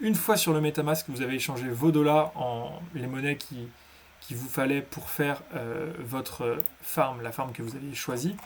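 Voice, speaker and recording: A man's fairly high voice with big swings in loudness and noticeable background noise. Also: ordinary pitch variation, fairly slow pace. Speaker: crypto tutorial youtuber. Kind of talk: tutorial. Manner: halting.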